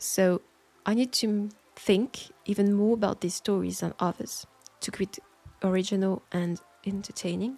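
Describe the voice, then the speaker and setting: A soft-spoken woman with a French accent, dark and mellow in tone at a medium pitch, with fairly even intonation, a moderate pace and long, frequent pauses. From France. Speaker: audio roleplay creator. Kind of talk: Q&A answering listener questions.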